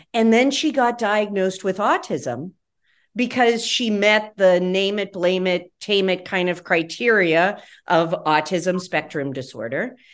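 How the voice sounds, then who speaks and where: Against a quiet background, a plain, everyday voice moves at a fairly slow pace with lively intonation. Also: woman, medium pitch for a woman. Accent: American. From West Virginia. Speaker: pediatrician. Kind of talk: interview.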